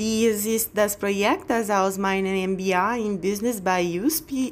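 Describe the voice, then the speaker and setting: A woman with a Brazilian accent, at a very slow pace. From Brazil, Bahia. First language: Portuguese (speaking German). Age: 30s. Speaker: job applicant. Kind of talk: video CV presentation.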